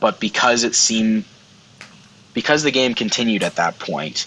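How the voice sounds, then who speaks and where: Noticeable background noise is audible. The speaking moves along fairly quickly. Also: man. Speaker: guest host. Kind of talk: casual chat.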